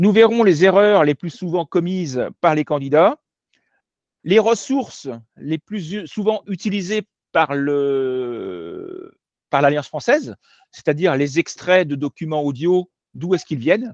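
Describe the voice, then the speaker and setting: The sound is dry and close with no echo, against a quiet background. A man with a high voice speaks at a fairly slow pace with lively intonation and long, frequent pauses. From France. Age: 50s. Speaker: French language teacher. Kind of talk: online lecture. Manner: hesitant, many filler sounds.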